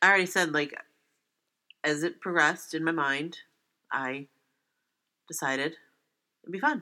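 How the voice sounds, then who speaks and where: A loud woman with a fairly low pitch and a bright, sharp tone speaks at a moderate pace with ordinary pitch variation and long, frequent pauses, in a very clean recording with a silent background. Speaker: podcast co-host, fan of a boy band. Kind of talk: casual chat. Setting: home recording without proper sound equipment.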